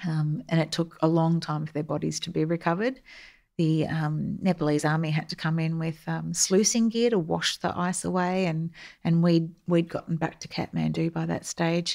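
The recording is very clean with a silent background. A woman speaks at a fairly low pitch with fairly even intonation. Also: moderate pace. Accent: Australian. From Australia, Melbourne. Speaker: army veteran, public affairs officer. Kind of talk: interview.

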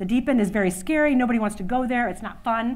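An ordinary speaking voice from a woman with an American accent, fairly high in pitch, with ordinary pitch variation at a fairly quick pace. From Louisiana, USA. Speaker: conference keynote speaker, women's workplace initiative leader. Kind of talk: conference keynote speech. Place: hall.

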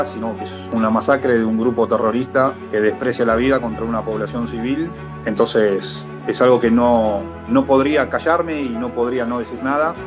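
With clear music in the background, a man talks at a moderate pace. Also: medium pitch for a man. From Argentina. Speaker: soccer broadcaster on radio and TV. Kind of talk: interview answer. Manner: earnest, emotional. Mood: earnest, grave. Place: home room. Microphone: webcam.

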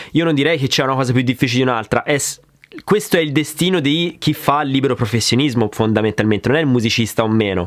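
A man rattles along at a very fast pace, his pitch varying in an ordinary way against a quiet background. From Grosseto, Tuscany. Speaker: drummer and drum YouTuber. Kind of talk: casual Q&A chat. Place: studio.

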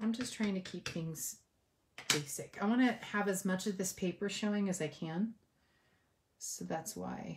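A somewhat breathy woman's voice in an American accent, medium in pitch with ordinary pitch variation, fairly slow with long, frequent pauses, over light background noise. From California. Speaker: papercraft demonstrator. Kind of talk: tutorial. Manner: casual, hesitant with many fillers. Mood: friendly, relaxed. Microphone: phone near.

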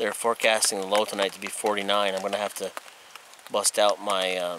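Noticeable background noise runs behind a man whose voice sounds dry, with no echo. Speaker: camper vlogger. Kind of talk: casual vlog chat. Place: forest. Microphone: phone near.

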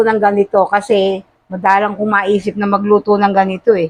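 Speaking at a fairly quick pace, a woman uses a plain, everyday voice at medium pitch. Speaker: vlogger. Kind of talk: casual cooking vlog.

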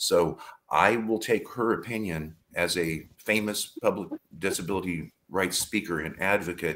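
A plain, everyday voice from a man with an American accent, fairly even intonation and a fairly slow pace. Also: fairly low pitch for a man. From United States. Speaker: panelist. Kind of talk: live panel discussion. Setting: video call.

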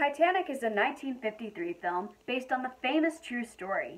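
Her voice sits high in pitch for a woman. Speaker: film reviewer. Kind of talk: casual film review. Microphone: phone near.

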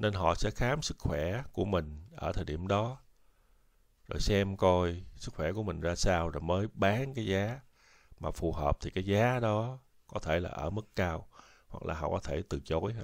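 A man speaks at a very deep, low pitch and a fairly slow pace. The recording is very clean, with a silent background. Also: ordinary pitch variation. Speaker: YouTube educator on US social benefits and retirement. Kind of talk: informal educational talk. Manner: halting, many fillers.

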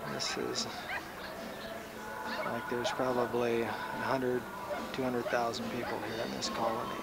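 Fairly slow speech over background music, dry with no echo. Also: man. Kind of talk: casual narration of home video. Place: open country. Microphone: old recording.

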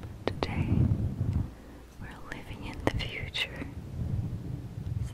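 A woman whispers at a fairly slow pace. Her voice is breathy. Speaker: ASMR creator. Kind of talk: soft-spoken ASMR talk. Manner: close breathy whisper into the microphone. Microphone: studio mic.

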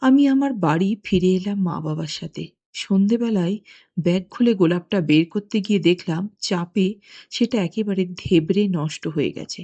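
A woman speaks at a medium pitch in a dark, mellow tone with ordinary pitch variation. The sound is dry and close, without echo. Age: 60s. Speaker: anonymous listener confessing. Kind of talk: recorded confession testimony.

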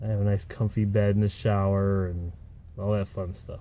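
With a dark, mellow tone, a man speaks in a dry sound with no echo. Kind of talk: casual vlog chat. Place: car. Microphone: phone near.

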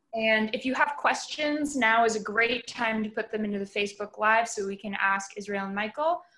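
This is a woman with a plain, everyday voice at a fairly high pitch. She talks at a moderate pace with ordinary pitch variation. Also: hardly any pauses. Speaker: public art manager and moderator; moderator. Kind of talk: moderated panel discussion. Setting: video call. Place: home room. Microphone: video call.

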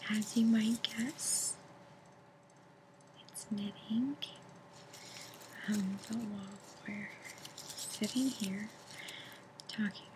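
A woman speaks in a monotone, flat intonation. Noticeable background noise sits behind her. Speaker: ASMR creator. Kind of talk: ASMR knitting tutorial. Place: home room. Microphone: webcam.

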